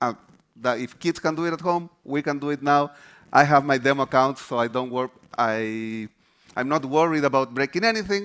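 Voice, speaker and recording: Someone with a Chilean accent talks at a moderate pace with ordinary pitch variation. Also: man, fairly high pitch for a man. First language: Spanish. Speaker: developer advocate. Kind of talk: conference presentation.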